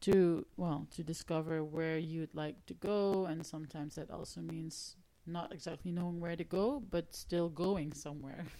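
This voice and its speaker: A woman with a Dutch accent speaks in a dark, mellow tone with fairly even intonation and hardly any pauses. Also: fairly low pitch for a woman, moderate pace. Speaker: singer-songwriter and music teacher. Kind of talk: casual interview. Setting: radio studio.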